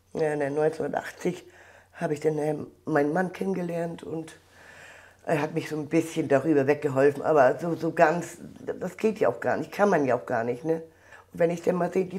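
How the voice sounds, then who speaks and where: A woman with a fairly low voice and a dark, mellow tone speaks at a moderate pace. Behind her the background stays quiet. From Mecklenburg, northern Germany. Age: 60s. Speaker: contemporary witness, volunteer at a border museum. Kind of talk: interview answer. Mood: emotional, recalling painful past. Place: hall. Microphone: lapel.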